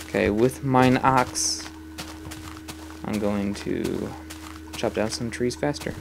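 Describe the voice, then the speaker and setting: Music plays in the background as a man speaks at a very slow pace. His pitch is fairly low, and he leaves long, frequent pauses. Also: lively intonation. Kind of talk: casual talk to camera. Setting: home recording, voice over gameplay.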